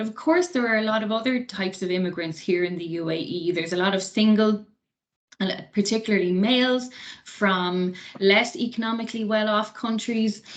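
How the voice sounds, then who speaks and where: Her pace is moderate as the woman talks. She sits fairly high in pitch and varies it in an ordinary way. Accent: Irish. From Ireland. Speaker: associate professor. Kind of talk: lecture.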